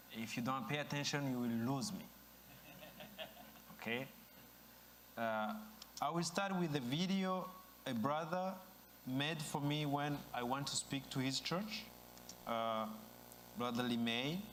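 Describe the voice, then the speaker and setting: The speech has lively intonation at a fairly slow pace, with long, frequent pauses. Audible room echo surrounds the voice. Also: man, fairly high pitch for a man. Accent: East African. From Rwanda. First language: Kinyarwanda or French (English is fourth language). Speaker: speaker at dedication ceremony. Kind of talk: ceremonial speech.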